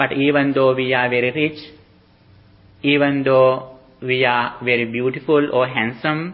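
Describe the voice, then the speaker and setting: A man's medium-pitched voice with a non-native accent, monotone and flat, fairly slow, very even in loudness, with long, frequent pauses. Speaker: Buddhist monk teacher. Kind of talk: dharma talk. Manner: halting.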